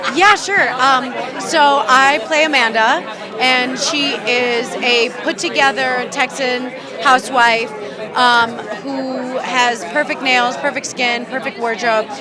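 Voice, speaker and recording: A high-pitched woman speaks very slowly amid crowd noise, with audible room echo around her. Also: ordinary pitch variation. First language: Spanish. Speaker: actress. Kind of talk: red carpet interview. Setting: red carpet at film festival.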